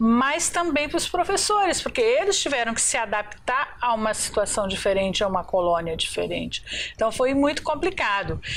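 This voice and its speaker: Amid noticeable background noise, a woman speaks at a moderate pace with hardly any pauses, her high voice holding a very even loudness while swinging widely in pitch. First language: Pomeranian (speaking Portuguese). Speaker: community representative. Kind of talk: TV talk show interview.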